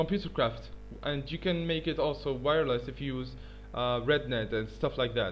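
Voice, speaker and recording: Music plays in the background. Over it, a man speaks at a moderate pace. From Tunisia. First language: not English (third language). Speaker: gaming YouTuber. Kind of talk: tutorial. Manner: halting, many fillers.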